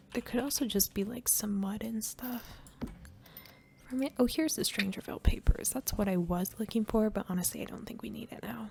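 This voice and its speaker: Soft-spoken and calm in tone, the voice moves along at a fairly quick pace. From Canada. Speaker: gaming YouTuber. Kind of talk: casual gameplay commentary. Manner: soft-spoken, calm; quiet.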